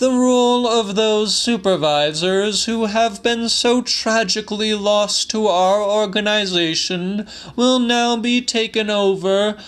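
A man's put-on character voice, pitched high, at a fairly slow pace. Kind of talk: formal corporate announcement. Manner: stern, officious.

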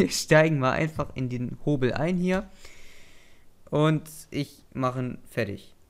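At a very slow pace with long, frequent pauses, a man speaks at a fairly high pitch with ordinary pitch variation. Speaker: gamer / let's play host. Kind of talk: casual chat while gaming. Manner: playful, joking.

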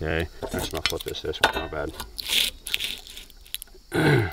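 Light background noise accompanies a dry sound that has no echo. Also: man. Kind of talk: tutorial. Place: street. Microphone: phone near.

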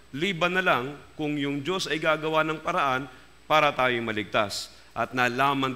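Bright, sharp tone from a man, its pitch varying in an ordinary way. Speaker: pastor. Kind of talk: sermon.

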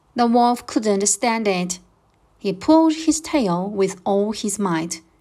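Lively intonation marks this plain reading aloud.

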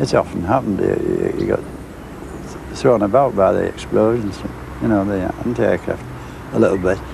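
A man speaks in a low voice with vocal fry and big pitch swings. His pace is moderate, and background noise is clear.

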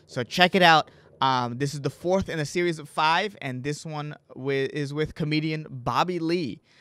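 A man's fairly high voice, bright and sharp in tone, with ordinary pitch variation, a moderate pace, and a very clean recording over a silent background. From immigrant family, US. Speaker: podcast host, comedian. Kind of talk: podcast intro and casual interview.

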